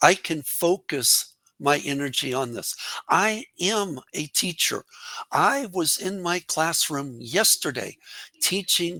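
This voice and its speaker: A man's bright, sharp voice at a very slow pace, with lively intonation and a dry, close sound with no echo. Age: 60s. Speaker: English teacher. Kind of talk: interview.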